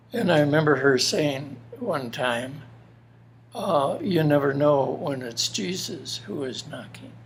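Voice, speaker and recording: A man's fairly high voice with an American accent at a fairly slow pace, over noticeable background noise. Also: ordinary pitch variation. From Minnesota, US Upper Midwest. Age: 80s+. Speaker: elderly interviewee sharing life story. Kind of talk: personal testimony interview. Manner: halting, many fillers.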